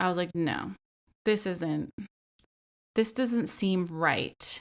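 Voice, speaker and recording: Animated tone and lively intonation in a Philadelphia accent, at a fairly slow pace, on a very clean recording with a silent background. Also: woman. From Philadelphia, US. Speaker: podcast host. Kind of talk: casual pop culture podcast monologue. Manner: animated, frequent filler words.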